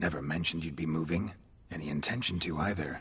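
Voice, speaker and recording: A man uses a put-on character voice pitched very deep and low. He talks at a very fast pace. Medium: video game. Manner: terse, clipped, low-key.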